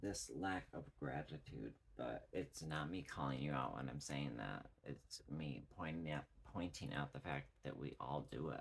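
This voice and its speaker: This man's voice sits at a very deep, low pitch and carries vocal fry. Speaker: tarot reader. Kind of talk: tarot reading monologue. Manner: slow; halting.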